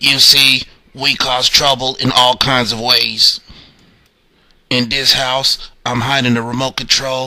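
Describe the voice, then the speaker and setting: A put-on character voice, raspy and monotone with flat intonation, moves at a fairly slow pace. Long pauses come frequently. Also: man, medium pitch for a man. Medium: read story.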